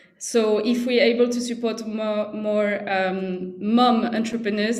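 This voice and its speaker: A woman speaks in a French accent at a fairly high pitch, her intonation monotone and flat. Noticeable background noise and audible room echo are present. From France. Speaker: social entrepreneur, CEO. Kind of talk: presentation at online panel.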